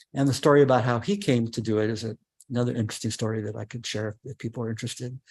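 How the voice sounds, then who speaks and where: Very fast speech from a man at medium pitch, fairly even in intonation, against a quiet background. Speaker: podcast producer and presenter. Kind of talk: webinar presentation. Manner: halting, many fillers and repeats.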